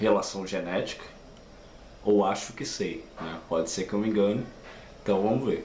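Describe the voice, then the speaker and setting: Speaking at a moderate speed, a man's voice carries audible room echo. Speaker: YouTuber. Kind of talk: casual vlog talk. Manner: halting, many fillers.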